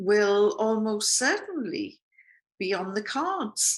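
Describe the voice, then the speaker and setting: A British-accented woman at a fairly high pitch, very slow in pace, with very wide pitch swings. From Britain. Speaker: journalist. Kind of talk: political commentary. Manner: casual, humorous.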